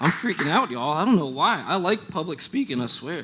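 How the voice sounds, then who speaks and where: A man talks in a high voice while noticeable background noise plays behind him. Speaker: student pastor. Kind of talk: sermon.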